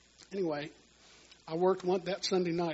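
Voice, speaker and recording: With a Texan accent, a man talks at a fairly quick pace in a high pitch. His intonation stays fairly even. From Texas (Houston). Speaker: church minister, musician. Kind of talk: testimony.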